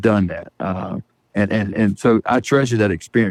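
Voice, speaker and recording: Here is a normal speaking voice with fairly even intonation, moving at a moderate pace. The sound is dry and close, with no echo. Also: man. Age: 50s. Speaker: truck driver. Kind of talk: interview.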